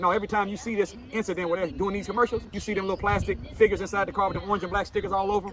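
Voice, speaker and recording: A man speaks over noticeable background noise. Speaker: minister. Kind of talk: motivational speech. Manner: calm but commanding.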